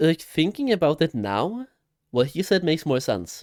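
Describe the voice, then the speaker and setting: A man with a non-native accent speaks at a moderate pace in a fairly high pitch, his voice swinging very widely, the sound dry and close with no echo. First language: not English. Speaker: gaming streamer reacting to a video. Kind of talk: reaction commentary. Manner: casual.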